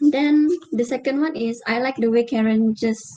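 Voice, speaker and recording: Fairly even in intonation, a woman with a Malaysian accent speaks fairly slowly at a fairly high pitch. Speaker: university student. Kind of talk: group discussion.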